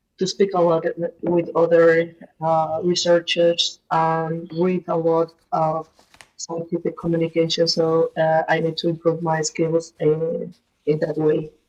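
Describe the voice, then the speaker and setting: A woman in a Spanish accent, fairly low in pitch, fairly slow and monotone, with flat intonation. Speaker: researcher, language learner. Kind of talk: casual group conversation. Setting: online voice chat room on a language app. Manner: halting, hesitant.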